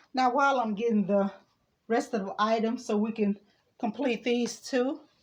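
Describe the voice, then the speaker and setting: In an unremarkable speaking voice, a woman with a fairly high pitch speaks at a moderate pace with fairly even intonation. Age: 60s. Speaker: DIY crafter. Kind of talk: tutorial.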